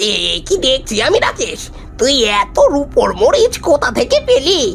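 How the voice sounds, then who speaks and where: The speaker uses a cartoonish character voice at a moderate pace. Faint music runs in the background. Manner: sly.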